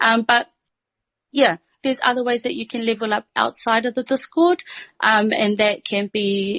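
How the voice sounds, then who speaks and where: In a New Zealand accent, a woman speaks at a moderate pace in a fairly high voice. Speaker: community host. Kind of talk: voice chat talk. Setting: online voice chat. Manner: halting.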